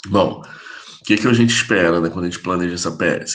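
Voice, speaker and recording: In a room with audible echo, a man with a very deep, low pitch speaks with fairly even intonation. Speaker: physiotherapy professor. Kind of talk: lecture. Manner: casual, informal.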